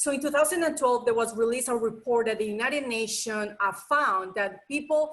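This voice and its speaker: A woman with a Colombian accent speaks at a fairly quick pace in a fairly high pitch, with ordinary pitch variation and hardly any pauses. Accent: foreign accent (Colombian Spanish). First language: Spanish. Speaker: nonprofit association president. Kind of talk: online presentation.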